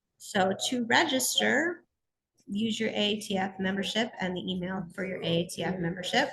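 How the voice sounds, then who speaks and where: A woman speaks at a moderate pace in a medium pitch, with ordinary pitch variation. She has a normal speaking voice. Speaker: contest support coordinator. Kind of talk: webinar presentation. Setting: at a conference, video call.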